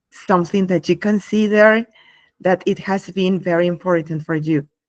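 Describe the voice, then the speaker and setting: Against a quiet background, a woman with a non-native accent and a medium pitch speaks at a moderate pace, the sound dry and close with no echo. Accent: non-native English speaker. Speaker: English teacher and workshop presenter. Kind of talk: live online workshop. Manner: hesitant, with fillers.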